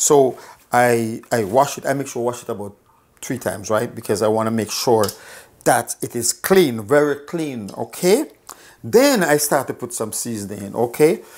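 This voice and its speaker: A man with a Jamaican accent talks at a moderate pace. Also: medium pitch for a man, ordinary pitch variation. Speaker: cooking show host. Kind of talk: cooking tutorial. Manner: casual, chatty.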